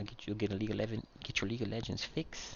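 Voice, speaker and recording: A man with an American accent. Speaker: gaming YouTuber. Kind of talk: casual gameplay commentary. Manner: rambling, halting.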